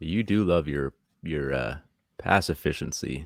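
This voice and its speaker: A man speaks with a very deep, low pitch. There is vocal fry, and the pitch variation is ordinary. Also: dry, close sound with no echo. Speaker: podcast co-host, trivia contestant. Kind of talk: trivia game show podcast. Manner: mumbling; quiet.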